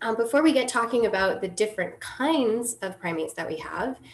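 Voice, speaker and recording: Here a woman is speaking. Her intonation is lively. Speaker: presenter. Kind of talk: lecture. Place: home room. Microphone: webcam.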